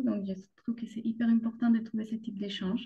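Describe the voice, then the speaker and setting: A woman speaks with a Colombian accent and a fairly high pitch. Her voice is somewhat breathy. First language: Spanish (speaking French). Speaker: mother sharing birth story. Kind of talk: podcast interview testimony. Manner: hesitant, many fillers.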